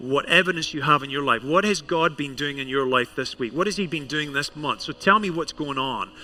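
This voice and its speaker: Someone with a Scottish accent talks at a fairly quick pace with hardly any pauses and ordinary pitch variation, over noticeable background noise. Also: man, fairly high pitch for a man. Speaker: pastor. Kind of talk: sermon. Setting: church service with congregation.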